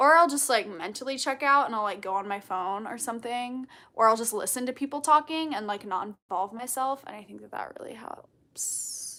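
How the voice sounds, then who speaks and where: A woman's bubbly, high voice at a fairly quick pace with ordinary pitch variation. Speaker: content creator. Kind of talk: livestream Q&A chat. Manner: loud and bubbly.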